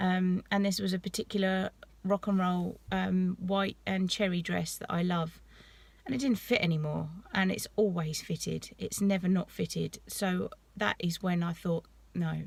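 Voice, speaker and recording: In a British accent, a woman speaks at a moderate pace, somewhat breathy and at medium pitch. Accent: English (UK). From southeast England, East Sussex coast. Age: 30s. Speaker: vlogger. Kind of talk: casual vlog talk. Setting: at the gym. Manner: casual, hesitant with many ums.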